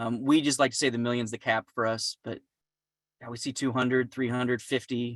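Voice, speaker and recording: Mumbling at a fairly quick pace, a man speaks in a monotone, flat way, the sound dry and close with no echo. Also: medium pitch for a man. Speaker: finance business development specialist. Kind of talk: webinar presentation with Q&A. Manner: fast.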